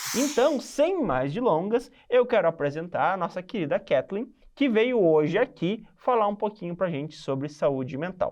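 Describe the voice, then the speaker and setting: Over a quiet background, a man talks at a moderate pace in a high pitch, with very wide pitch swings. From southern Brazil, Rio Grande do Sul (Santa Maria). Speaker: podcast host. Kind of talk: podcast interview.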